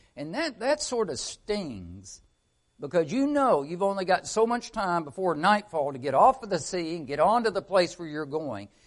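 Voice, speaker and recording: Over a quiet background, a man with a Southern US accent talks at a moderate pace, his high pitch making very wide swings. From Arkansas. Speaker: missionary. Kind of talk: church talk. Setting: church.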